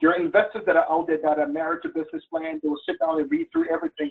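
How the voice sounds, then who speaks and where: A man speaks with lively intonation. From Liberia. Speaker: webinar presenter, business mentor. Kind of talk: webinar presentation. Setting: online webinar.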